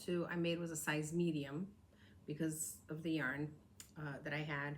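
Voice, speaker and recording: The room echo is clearly audible. A woman talks at a very deep, low pitch. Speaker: crafting podcaster. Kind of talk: casual show-and-tell vlog. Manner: fast.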